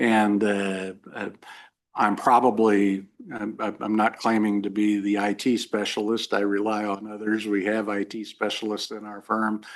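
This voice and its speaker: Over a quiet background, a man speaks at a moderate pace with a fairly low pitch and flat, monotone intonation. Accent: Midwestern American. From western Kansas (Hays). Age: 60s. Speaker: lawyer, judicial candidate. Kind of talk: job interview. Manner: halting, many fillers.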